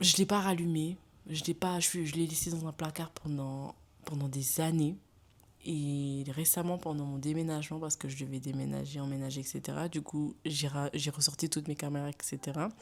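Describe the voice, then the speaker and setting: A woman with a very deep, low voice talks fairly quickly, keeping her intonation fairly even. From Senegal. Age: 20s. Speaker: lifestyle YouTuber. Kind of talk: casual vlog monologue. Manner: hesitant, with fillers and restarts.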